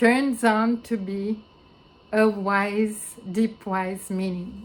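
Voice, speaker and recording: Speaking very slowly, a woman uses a non-native accent. Her fairly high voice stays monotone and flat. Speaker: philosopher and researcher. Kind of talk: video conference talk. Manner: halting, many fillers.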